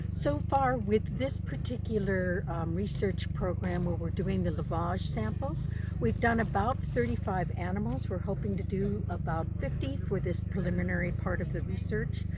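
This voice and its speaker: A woman with an American accent and a very deep, low pitch speaks at a moderate pace with lively intonation and hardly any pauses, amid noticeable background noise and audible room echo. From United States. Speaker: wildlife veterinarian and researcher. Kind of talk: interview. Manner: hesitant, many fillers.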